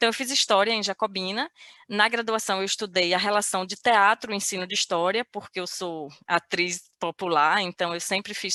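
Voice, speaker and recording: Medium-pitched woman's voice with a bright, sharp tone, ordinary pitch variation and a moderate pace, in a dry, close sound with no echo. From Bahia sertão, Serrolândia. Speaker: researcher and popular theatre actress. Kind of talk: interview conversation.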